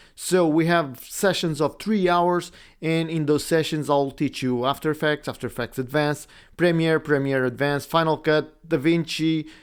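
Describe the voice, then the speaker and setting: A man with a Portuguese accent speaks at a moderate pace, his pitch fairly high for a man and his intonation fairly even. The recording is very clean, with a silent background. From Portugal. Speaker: podcast host and video editing teacher. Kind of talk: casual monologue. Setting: home recording setup. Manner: halting.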